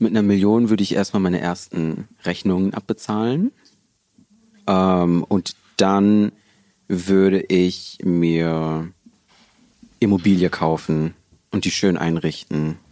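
This man speaks at a very slow pace with a very deep, low pitch and a dark, mellow tone, his fairly even intonation broken by long, frequent pauses. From Ruhr area, Herne. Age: 20s. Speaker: law student. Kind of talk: casual chat.

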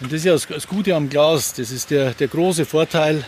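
A man's fairly high voice with ordinary pitch variation, at a moderate pace over noticeable background noise. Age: 50s. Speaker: glass plant manager. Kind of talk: interview during plant tour. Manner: hesitant, many fillers.

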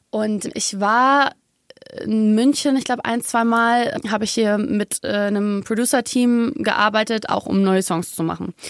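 Here is a woman with a normal speaking voice. She talks at a fairly slow pace with fairly even intonation. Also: fairly high pitch for a woman. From Germany, Munich. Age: 20s. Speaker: singer. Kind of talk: casual chat. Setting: studio.

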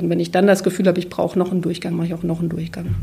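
A woman with a fairly low pitch speaks in a flat monotone. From former East Germany. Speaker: literary translator. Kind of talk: interview.

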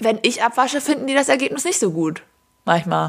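A woman's voice carries noticeable vocal fry. Her pitch swings very widely. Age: 20s. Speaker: podcast co-host. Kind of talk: casual chat.

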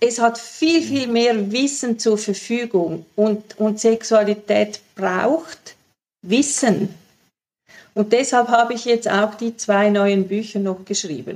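Very slowly, a woman speaks in a fairly high voice. Her pitch variation is ordinary. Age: 60s. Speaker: sexologist and author. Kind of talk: interview. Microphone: poor sound quality.

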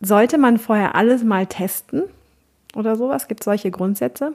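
A woman talks with a fairly high pitch. Her recording is very clean, and the background is silent. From Cologne, western Germany. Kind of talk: interview.

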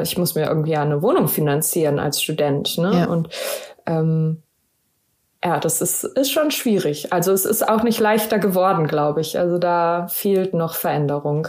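In an ordinary speaking voice, a woman talks at a moderate pace with a fairly low pitch, ordinary pitch variation and very even loudness. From Germany, Wuppertal. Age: 30s. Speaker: special education teacher. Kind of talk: interview.

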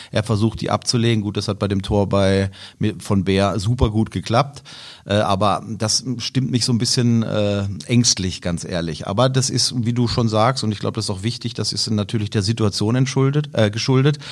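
Recorded very cleanly against a silent background, a man speaks at a moderate pace in a plain, everyday voice, fairly low in pitch with ordinary pitch variation. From Karlsruhe area, Baden. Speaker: blind-audience football commentator. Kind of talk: casual football chat.

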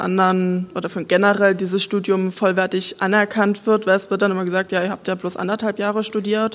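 A woman's medium-pitched, monotone voice with flat intonation at a moderate pace, over noticeable background noise. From Saxony, village near Dresden. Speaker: wood technology engineer. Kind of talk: panel talk at live event.

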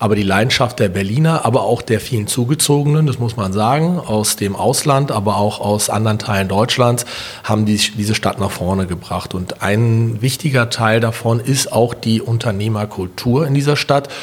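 At a moderate pace, a man talks with hardly any pauses while noticeable background noise plays. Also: medium pitch for a man, ordinary pitch variation. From Berlin, Germany. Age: 40s. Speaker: business chamber president and entrepreneur. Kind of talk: podcast interview.

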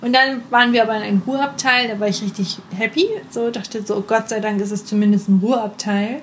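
Fairly high in pitch, a woman talks at a fairly quick pace with fairly even intonation. Background noise is noticeable. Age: 20s. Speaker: podcast co-host. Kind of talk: casual chat.

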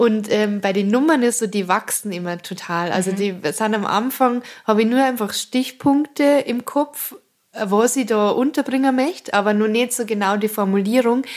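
A woman speaks with a Bavarian accent at a fairly high pitch. Her pitch varies in an ordinary way, and her pace is moderate. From Munich suburb Aubing, Bavaria. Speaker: cabaret artist. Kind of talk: interview.

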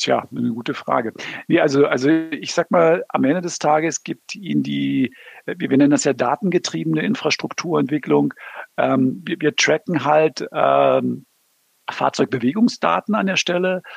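In a dry, close sound with no echo, a man speaks at a fairly slow pace. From Berlin. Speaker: automotive project manager. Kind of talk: interview. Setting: remote call.

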